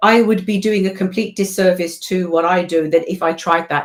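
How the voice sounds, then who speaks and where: Over noticeable background noise, a woman with a British accent talks at a fairly quick pace. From England. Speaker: voiceover artist and event co-owner. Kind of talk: casual chat.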